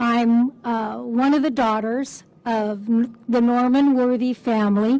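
A woman with an American accent speaks at a very slow pace in a high pitch, dark and mellow in tone, monotone and flat, with very even loudness. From Southern California. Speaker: longtime local resident. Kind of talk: ceremonial speech with personal memories. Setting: outdoors at a park ceremony. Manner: warm, cheerful, laughs. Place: street. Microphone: podium.

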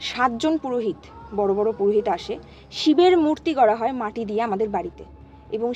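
With light background noise and a dry, echo-free sound, a woman speaks at a fairly high pitch. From West Bengal, Nadia district (between Chakdah and Ranaghat); West Bengal. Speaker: storyteller of a paranormal experience. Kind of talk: personal storytelling in casual chat. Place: home room. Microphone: camera far.

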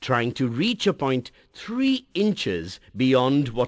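Natural reading voice throughout

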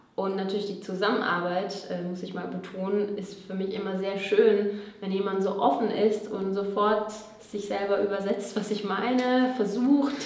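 A woman speaks at a moderate pace with few pauses and little pitch movement. Her slightly mellow tone carries strong room echo. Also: medium pitch for a woman.

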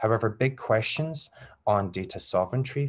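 With a Glasgow accent, a man talks at a fairly quick pace. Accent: Scottish (Glasgow). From Scotland, Glasgow. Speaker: academic researcher. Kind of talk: lecture. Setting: video call.

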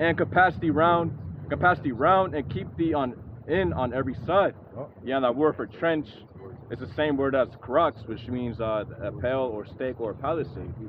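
Lively intonation and a moderate pace from a man, a plain, everyday voice pitched in the medium range. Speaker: scripture reader. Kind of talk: reading aloud.

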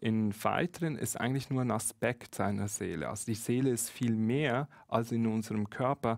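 The background is quiet. A man talks at a moderate pace with ordinary pitch variation. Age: 30s. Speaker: spiritual medium and author; interview guest. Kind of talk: live-streamed conversation. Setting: studio. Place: studio. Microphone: headset.

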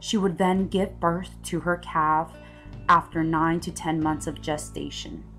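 A woman speaking at a fairly slow pace with music in the background. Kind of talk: documentary-style advocacy narration. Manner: overly dramatic.

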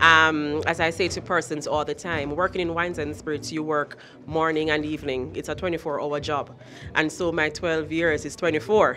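With faint music in the background, a woman talks at a moderate pace in a very deep, low pitch. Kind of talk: interview answer. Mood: proud, earnest. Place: hall. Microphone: handheld.

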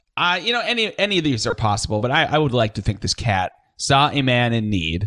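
In a dry, close sound with no echo, a man with an unremarkable speaking voice talks at a moderate pace with lively intonation. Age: 30s. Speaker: radio host and musician. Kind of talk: casual chat. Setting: video call.

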